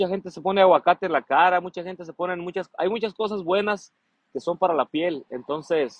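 Against a quiet background, a man with a high voice speaks in an animated tone at a moderate pace, the sound dry with no echo. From Mexico, Colima. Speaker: singer. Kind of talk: casual chat. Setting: livestream. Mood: relaxed, friendly. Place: garden. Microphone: phone near.

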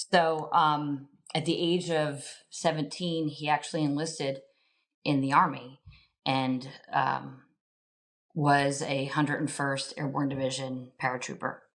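A woman with a New Jersey accent speaks at a very deep, low pitch and a fairly slow pace, with long, frequent pauses. Her intonation is fairly even, and the background is quiet. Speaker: school board member. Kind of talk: interview.

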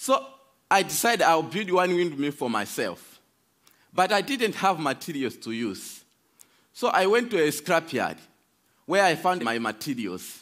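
Against a quiet background, a man with a Malawian accent speaks at a high pitch and a fairly slow pace, with very wide pitch swings and long, frequent pauses. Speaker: speaker giving a talk. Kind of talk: prepared talk with storytelling. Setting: stage with audience. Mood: earnest, hopeful. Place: stage. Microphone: headset.

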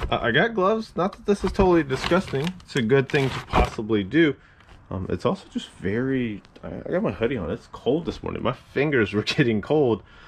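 Over light background noise, a man speaks at a fairly quick pace with big swings in loudness and very wide pitch swings. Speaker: reseller opening a storage unit. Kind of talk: casual vlog chat. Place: garage. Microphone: phone near.

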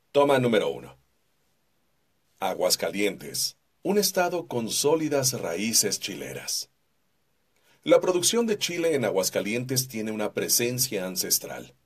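A man speaks fairly slowly, with long, frequent pauses and very wide pitch swings. The background is quiet. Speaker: voice-over artist. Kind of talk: corporate narration. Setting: studio. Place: booth. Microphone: studio mic.

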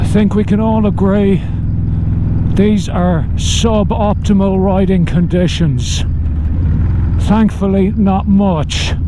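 A man speaks with ordinary pitch variation and long, frequent pauses. The sound is dry with no echo, though noticeable background noise is present. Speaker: motorcycle vlogger. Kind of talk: casual vlog chat. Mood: wry, humorous. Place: motorbike. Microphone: helmet.

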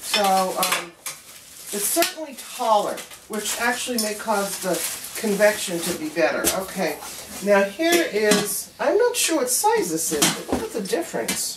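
Over loud background noise, a woman talks at a fairly slow pace with long, frequent pauses. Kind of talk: casual demonstration chat. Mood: pleased, chatty. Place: kitchen. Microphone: camera far.

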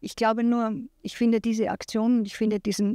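A woman speaks at a medium pitch and a moderate pace, her dark, mellow tone held in a monotone, flat intonation. The recording is very clean and dry, close with no echo, over a silent background. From Austria. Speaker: film producer, initiative founder. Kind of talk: press interview. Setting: café press event.

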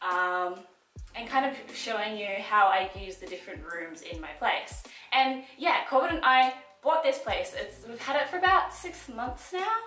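Faint music plays behind a woman speaking at a moderate pace and fairly high pitch, with ordinary pitch variation. Her tone is fairly bright, and the room echo is audible.

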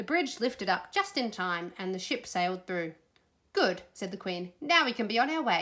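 The voice is reading aloud in a natural voice.

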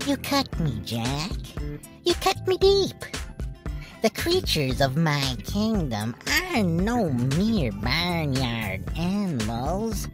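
Clear music plays behind the speech. The put-on character voice moves very slowly. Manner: theatrical, excited.

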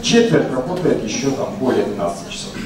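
A man at a moderate pace with very wide pitch swings, noticeable background noise and audible room echo. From Russia. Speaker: university researcher, speaker. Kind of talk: conference talk with slides. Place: hall.

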